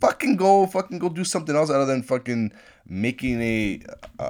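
A man's normal speaking voice, with lively intonation and a moderate pace. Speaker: podcast host. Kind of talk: casual rant, uncut solo talk. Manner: rambling, many fillers and profanity.

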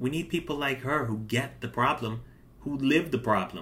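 A man's voice with vocal fry. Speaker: podcast host. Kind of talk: casual political talk show monologue and interview. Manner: opinionated, talkative.

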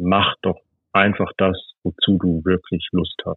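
A man's very deep, low voice at a very slow pace. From Hesse, Germany (Bad Hersfeld, eastern Hesse). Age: 40s. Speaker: tech entrepreneur. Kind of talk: casual interview.

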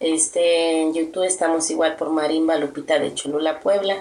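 The speaker uses a normal speaking voice, moving at moderate speed with intonation that stays fairly even. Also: woman. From Tierra Blanca, Veracruz, Mexico. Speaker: marimba band manager and musician. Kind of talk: casual interview.

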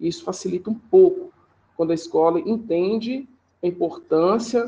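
A man with a high voice takes a fairly slow pace. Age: 20s. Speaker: physical education teacher. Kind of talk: interview answers, formal. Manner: formal.

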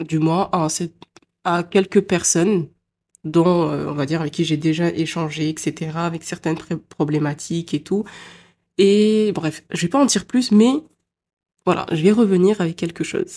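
A woman with a fairly low pitch and a dark, mellow tone speaks at a fairly slow pace, with ordinary pitch variation. She leaves long, frequent pauses, and the recording is very clean with a silent background. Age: 20s. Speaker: podcaster. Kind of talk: personal monologue. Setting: home recording at computer. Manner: spontaneous, hesitant.

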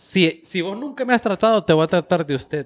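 The man's pitch is high and his intonation lively. The sound is dry and close, with no echo. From United States, Nicaraguan family. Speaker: podcast co-host. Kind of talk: casual chat.

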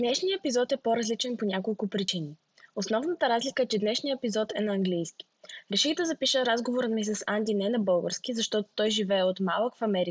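Delivered at a very fast pace in a Bulgarian accent, the voice is somewhat breathy, with lively intonation and very even loudness. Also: woman, fairly high pitch for a woman. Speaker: podcast host. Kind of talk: scripted intro.

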